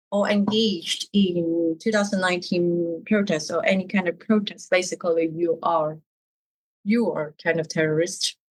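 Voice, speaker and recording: A woman talks with a Cantonese accent. She speaks at a fairly slow pace with ordinary pitch variation. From Hong Kong. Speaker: artist and dissident in exile. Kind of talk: interview. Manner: halting.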